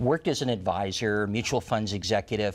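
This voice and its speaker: An unremarkable speaking voice moves at a fairly quick pace. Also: man. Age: 60s. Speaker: retirement planning author and former financial advisor. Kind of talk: interview on a TV talk show.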